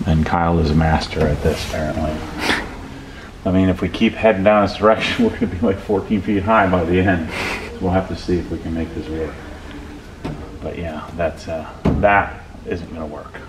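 Over noticeable background noise, a man talks at a fairly quick pace in a very deep, low pitch with fairly even intonation. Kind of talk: casual vlog chat. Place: garage. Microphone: phone near.

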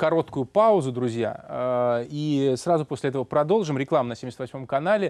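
A man uses a normal speaking voice at a moderate pace, with ordinary pitch variation and hardly any pauses. The background is quiet, and the sound is dry with no echo. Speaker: radio host. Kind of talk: late-night radio interview. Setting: studio. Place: studio. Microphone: lapel.

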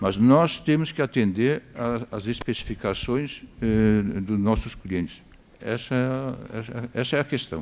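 A man's very slow delivery with ordinary pitch variation. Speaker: veteran maltster and brewer. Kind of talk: panel discussion. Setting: stage with audience. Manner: halting. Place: stage.

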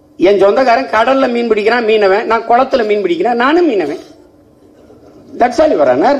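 Pitched extremely high, a man speaks in a passionate tone with lively intonation. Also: very even loudness. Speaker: politician. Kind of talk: political rally speech. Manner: fiery, passionate. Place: hall. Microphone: podium.

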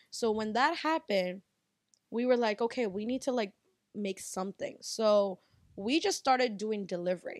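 With an American accent and an unremarkable speaking voice, a woman speaks at a moderate pace and a fairly high pitch with ordinary pitch variation, the sound dry with no echo and the background quiet. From US, Bangladeshi American family. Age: 20s. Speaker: restaurant owner; podcast guest. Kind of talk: casual chat. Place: home room. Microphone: handheld.

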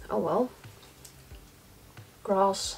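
A woman's medium-pitched voice carries a slightly husky edge.

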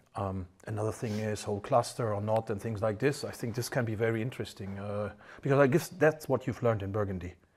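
A man with a German accent talks at a very fast pace in a fairly low, somewhat breathy voice with ordinary pitch variation. The recording is very clean, with a silent background. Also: hardly any pauses. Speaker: wine channel host. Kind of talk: casual interview during a wine tasting.

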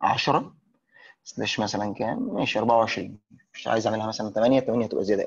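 The man talks at a moderate pace with fairly even intonation. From Egypt. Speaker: networking instructor. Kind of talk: tutorial. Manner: casual. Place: classroom.

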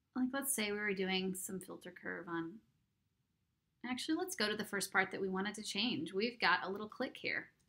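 A woman's medium-pitched voice, bright and sharp in tone, at a moderate pace with ordinary pitch variation. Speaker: audiobook narrator and audio editing teacher. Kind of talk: instructional screen-recording tutorial. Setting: home recording setup. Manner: casual, chatty.

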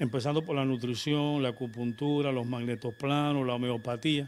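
Fairly quick, fairly even-toned speech from a man with a fairly high voice. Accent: Cuban. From Cuba. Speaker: doctor and nutritionist; guest. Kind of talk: live interview. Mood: calm, earnest. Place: studio. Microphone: handheld.

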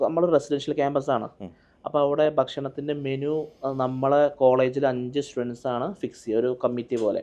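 A man with a fairly high voice speaks in a monotone, flat intonation. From Kerala, Malappuram; Kerala. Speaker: food vlogger; food vlogger guest. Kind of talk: interview. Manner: halting. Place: studio. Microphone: lapel.

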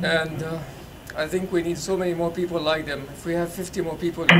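The speech moves at a moderate pace with fairly even intonation, and noticeable background noise runs underneath. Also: man. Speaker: audience member. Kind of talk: audience question and remarks. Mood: earnest, grateful. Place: hall.

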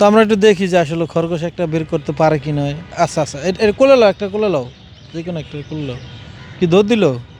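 A man talks in a high-pitched voice. Noticeable background noise runs behind him. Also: ordinary pitch variation, big swings in loudness. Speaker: street interviewer / vlogger. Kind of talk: street interview. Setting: outdoors in a park.

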